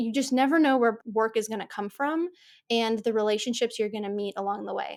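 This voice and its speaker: A woman's plain, everyday voice with an American accent, fairly high in pitch, at a fairly quick pace with ordinary pitch variation. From United States. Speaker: podcast host, architect. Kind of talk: interview conversation.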